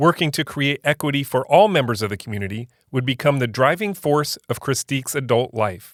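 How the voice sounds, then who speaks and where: In a very clean recording with a silent background and a dry, close sound with no echo, a man talks in a plain, everyday voice at medium pitch with ordinary pitch variation. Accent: American. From Central Florida (Polk County). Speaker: podcast host. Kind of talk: scripted narration; interview conversation.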